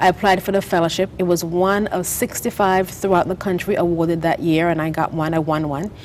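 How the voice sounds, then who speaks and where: A woman with a Caribbean accent, fairly low in pitch, at a fairly quick pace with hardly any pauses and fairly even intonation. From St. Vincent and the Grenadines. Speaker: author and business founder. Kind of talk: TV interview.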